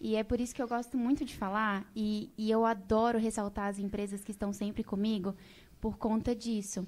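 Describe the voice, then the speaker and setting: At a moderate pace, a woman speaks with monotone, flat intonation on a very clean recording with a silent background. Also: fairly high pitch for a woman. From Brazil, Mato Grosso (Rondonópolis). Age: 20s. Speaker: beauty pageant winner and social media influencer. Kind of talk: casual interview chat.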